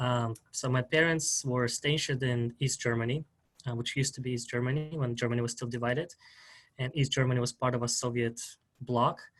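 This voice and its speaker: Speaking at a fairly quick pace, a man talks with a strong Russian accent. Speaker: historian, PhD student. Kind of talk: interview.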